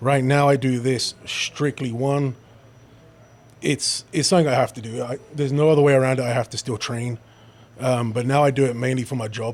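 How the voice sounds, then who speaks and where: Speaking at a fairly quick pace with a British accent, a man holds a medium pitch and fairly even intonation. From London, England. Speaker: police officer and powerlifter. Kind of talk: casual chat.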